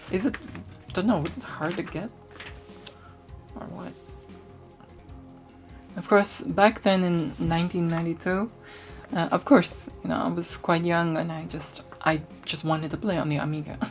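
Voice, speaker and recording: A woman with a fairly low pitch and relaxed tone at a moderate pace, with long, frequent pauses, big swings in loudness, ordinary pitch variation and music in the background. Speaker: retro tech YouTuber. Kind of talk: ASMR magazine flip-through talk. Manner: relaxed, soft-spoken.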